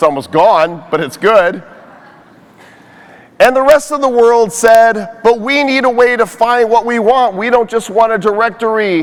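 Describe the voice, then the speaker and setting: Over noticeable background noise, a man with a high pitch speaks in an animated tone at a fairly slow pace. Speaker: conference speaker and social media influencer. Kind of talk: keynote talk. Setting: stage with audience.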